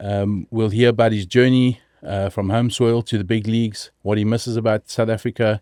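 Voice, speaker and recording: At medium pitch and a moderate pace, a man speaks in a monotone, flat intonation with a dark, mellow tone, on a very clean recording with a silent background and a dry, close sound with no echo. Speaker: podcast host. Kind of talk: podcast intro.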